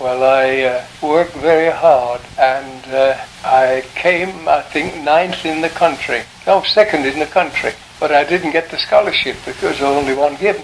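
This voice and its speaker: The voice moves at a fairly slow pace with ordinary pitch variation. Noticeable background noise runs underneath. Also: man, fairly high pitch for a man. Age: 80s+. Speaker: sculptor, art scholar. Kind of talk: interview answer.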